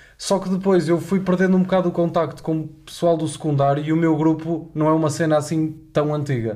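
With a dark, mellow tone, a man talks at a fairly high pitch and a fairly quick pace, keeping his intonation fairly even. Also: hardly any pauses. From Porto, northern Portugal. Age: 20s. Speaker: university student and podcast co-host. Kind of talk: casual chat.

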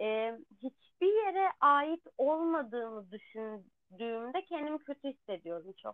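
A woman speaks at a very slow pace in a high pitch, with hardly any pauses. Her pitch swings very widely and her loudness swings a lot. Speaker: podcast co-host. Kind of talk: casual chat.

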